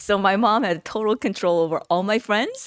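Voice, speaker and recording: Recorded with a dry, close sound and no echo, a woman with a Korean accent speaks at a moderate pace in a medium pitch with ordinary pitch variation. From South Korea. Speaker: entrepreneur. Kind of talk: interview.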